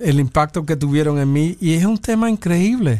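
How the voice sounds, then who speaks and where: Over a silent background in a very clean recording, a man with a dark, mellow tone speaks at a moderate pace. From New York (South Bronx). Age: 60s. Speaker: pianist and bandleader. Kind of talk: interview.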